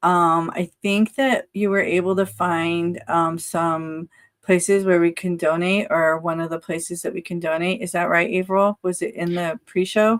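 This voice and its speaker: A woman's fairly low-pitched voice with fairly even intonation and hardly any pauses, dry and close with no echo, on a very clean recording with a silent background. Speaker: live stream co-host. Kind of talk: casual chat. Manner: slow.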